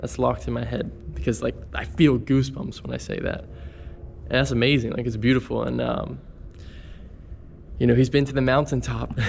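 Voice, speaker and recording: A man with a very deep, low pitch talks at a fairly quick pace, his pitch swinging very widely, with long, frequent pauses and noticeable background noise. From Pittsburgh, western Pennsylvania. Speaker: travel vlogger. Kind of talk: casual vlog talk. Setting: walking around a city. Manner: hesitant, filler-heavy.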